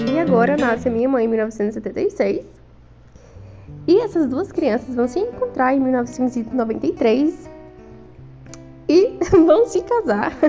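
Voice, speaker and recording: Over music in the background, a woman with a high voice talks at a moderate pace, her pitch swinging very widely between long, frequent pauses. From Maranhão, Brazil. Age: young. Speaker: homemaker and nursing student. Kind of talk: vlog narration over pictures.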